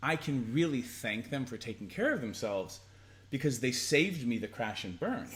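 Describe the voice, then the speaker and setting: On a very clean recording with a silent background, a somewhat breathy man speaks at medium pitch. His intonation is lively and his pace moderate. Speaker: sex and relationship educator. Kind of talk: casual conversational advice talk to camera.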